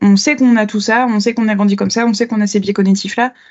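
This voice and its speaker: Fairly high and somewhat breathy, a woman's voice rushes at a very fast pace with fairly even intonation. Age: 30s. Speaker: agile coach and trainer. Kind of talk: podcast interview.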